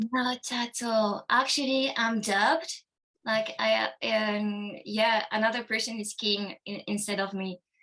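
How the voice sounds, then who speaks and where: A woman's fairly high voice in a non-native accent, fairly slow and fairly even in intonation. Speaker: actress. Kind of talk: interview. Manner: halting.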